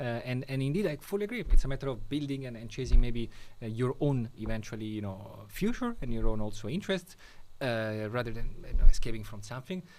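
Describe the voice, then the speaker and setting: Talking at a very fast pace, a man with a medium pitch uses lively intonation and big swings in loudness. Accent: Italian. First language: Italian. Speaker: podcast host. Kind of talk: podcast interview.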